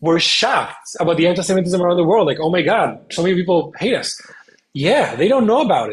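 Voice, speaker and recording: A man with an Israeli accent speaks in a high pitch. His pace is fairly quick and his intonation lively. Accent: Hebrew. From Spain. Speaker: content creator and advocate. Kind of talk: interview. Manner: hesitant, many fillers.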